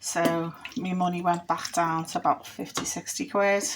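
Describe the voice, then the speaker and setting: Her Liverpool accent comes through as this woman speaks in a fairly low pitch with ordinary pitch variation. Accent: Liverpool (Scouse). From Liverpool, England. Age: 50s. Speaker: former secondary school teacher. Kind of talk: casual talk to camera.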